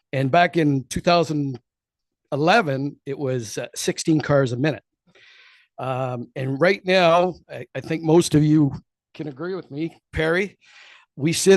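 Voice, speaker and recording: Against a quiet background, a man with a fairly high pitch speaks at a moderate pace with ordinary pitch variation and big swings in loudness, the sound dry and close with no echo. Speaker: property owner speaking at public meeting. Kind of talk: public comment at council meeting. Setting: council chamber podium with microphone.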